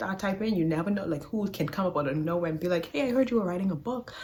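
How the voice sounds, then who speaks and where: A woman talks at a very fast pace, her medium-pitched voice making very wide pitch swings. Noticeable background noise runs underneath. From Bahamas. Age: 20s. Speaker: podcast host. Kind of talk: casual talk to camera. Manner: upbeat, warm.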